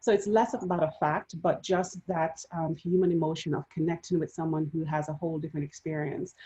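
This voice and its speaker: In a Jamaican accent, a woman speaks with a very deep, low pitch, a dark, mellow tone, and fairly even intonation. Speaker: panelist. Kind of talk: panel discussion.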